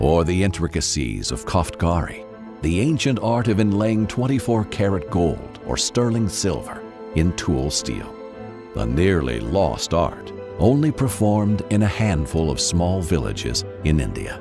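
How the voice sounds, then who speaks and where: Over music in the background, a man with a very deep, low voice speaks at a fairly slow pace, with very wide pitch swings. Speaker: voice actor. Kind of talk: corporate brand narration.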